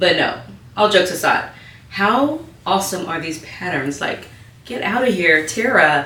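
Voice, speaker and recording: Amid noticeable background noise and audible room echo, a woman at medium pitch speaks at a moderate pace in an animated tone with lively intonation and long, frequent pauses. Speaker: sewing youtuber. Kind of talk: tutorial.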